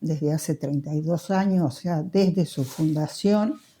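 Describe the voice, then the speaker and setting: A woman speaks very slowly in a dark, mellow tone. Her voice is somewhat breathy, with ordinary pitch variation. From Argentina, Córdoba province, moved to La Plata as a youth. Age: 80s+. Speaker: interviewee, Basque centre founding member. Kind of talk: oral history interview. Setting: at home in living room.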